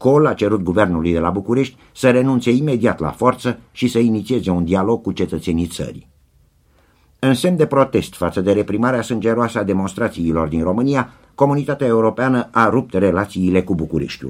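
Here is an unremarkable speaking voice from a man with a fairly low pitch and lively intonation. He talks at a fairly quick pace on a very clean recording with a silent background. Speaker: radio news reader. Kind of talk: radio news bulletin, Dec 1989. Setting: radio broadcast. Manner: formal, steady, brisk.

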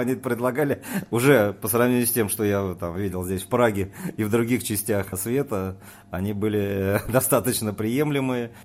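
A man speaks in a normal speaking voice, his pitch rising and falling in an ordinary way. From Moscow, Russia. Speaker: wine merchant. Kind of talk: casual interview. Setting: studio.

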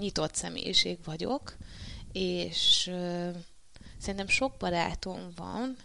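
Against a quiet background, the words come out very slowly. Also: woman. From Hungary, Marcali area (Somogy). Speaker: professional kickboxer. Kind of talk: interview. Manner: halting, many fillers and repetitions.

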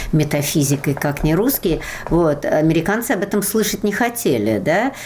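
Against noticeable background noise, a woman speaks at a moderate pace in a very deep, low voice. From Russia, Moscow. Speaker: literature professor and translator. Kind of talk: interview.

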